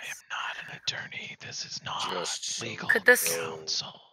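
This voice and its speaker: The put-on character voice sounds raspy and keeps to a moderate pace. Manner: stiff, disclaiming.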